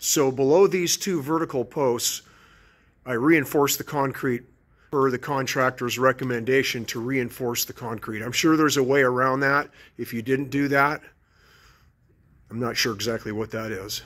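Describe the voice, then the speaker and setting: A man with long, frequent pauses and ordinary pitch variation. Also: moderate pace. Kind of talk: walkthrough tutorial. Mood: relaxed, casual. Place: garage. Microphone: phone near.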